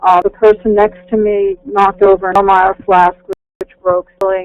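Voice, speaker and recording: A woman speaks in a monotone, flat intonation. The sound is dry and close, with no echo. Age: 70s. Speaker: caller giving voice sample. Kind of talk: testimony. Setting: phone call. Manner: halting.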